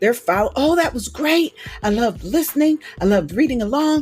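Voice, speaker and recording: A woman speaks with music in the background. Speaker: audiobook narrator and evangelist. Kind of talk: interview answer.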